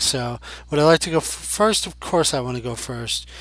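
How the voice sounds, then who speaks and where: An ordinary speaking voice from a man, fairly quick in pace, with lively intonation. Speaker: Pokémon card game commentator. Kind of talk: casual gameplay commentary. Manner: conversational, thinking aloud.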